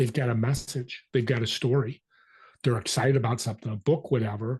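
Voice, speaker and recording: Over a quiet background, a man talks at a fairly quick pace in a somewhat breathy voice. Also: medium pitch for a man. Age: 60s. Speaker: business networking consultant and podcast host. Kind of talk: interview. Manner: animated.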